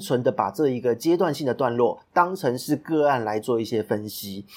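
With a plain, everyday voice, a man speaks at a moderate pace with lively intonation in a very clean recording over a silent background. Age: 30s. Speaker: podcast host and business consultant. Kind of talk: solo podcast monologue.

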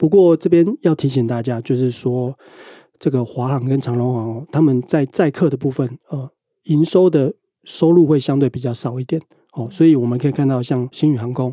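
This man speaks at a medium pitch and a moderate pace, with ordinary rises and falls. His tone is dark and mellow, and the sound is dry and close with no echo. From Taiwan, Pingtung. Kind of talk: interview.

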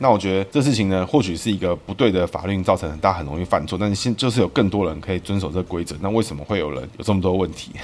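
Very deep, low-pitched man with a Taiwanese accent, very fast and with hardly any pauses, ordinary pitch variation, noticeable background noise. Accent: Taiwanese Mandarin. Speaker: political commentary podcast host using name numerology. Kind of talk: solo monologue podcast. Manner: casual, many filler particles.

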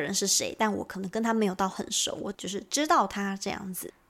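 A woman is speaking. Her pace is moderate. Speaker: podcast host and Japanese teacher. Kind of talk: language lesson.

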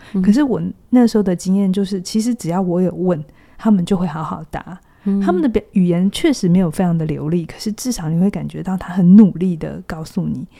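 Somewhat breathy with a dark, mellow tone, the voice moves at a fairly quick pace with ordinary pitch variation. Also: woman, medium pitch for a woman. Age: 40s. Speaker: psychologist. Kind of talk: casual chat.

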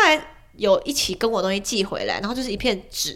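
A woman's raised, projected voice, bright and sharp, animated in tone, at a fairly quick pace with very wide pitch swings. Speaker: former overseas student, online editor and YouTuber. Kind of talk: casual chat. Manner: animated, talkative.

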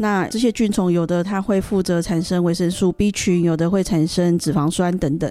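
Music in the background behind a woman's fairly low voice, with very even loudness and fairly even intonation. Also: moderate pace, hardly any pauses. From Taiwan. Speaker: interpreter. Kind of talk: consecutive interpretation.

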